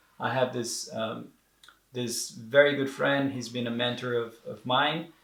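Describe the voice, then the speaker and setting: In a Portuguese accent, a man speaks fairly slowly at a medium pitch with fairly even intonation. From Brazil. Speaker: entrepreneur sharing depression experience. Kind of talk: interview. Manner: halting, many repetitions and fillers.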